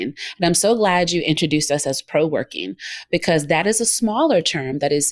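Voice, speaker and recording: A woman with a Southern US accent speaks at a moderate pace in a fairly low pitch, the sound dry and close with no echo. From US South, Georgia. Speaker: co-working space owner and former radio host. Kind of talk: interview.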